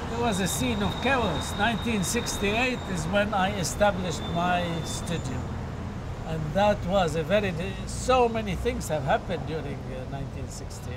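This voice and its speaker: Loud background noise sits behind a man's voice. He talks at a fairly slow pace. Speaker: interviewee. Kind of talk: interview answer. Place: street.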